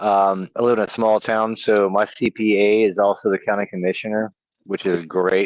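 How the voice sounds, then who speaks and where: A man with an ordinary speaking voice and fairly low pitch talks at a fairly slow pace, the sound dry and close with no echo. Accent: American. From Virginia, US. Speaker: stock investing livestream co-host. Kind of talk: casual livestream chat.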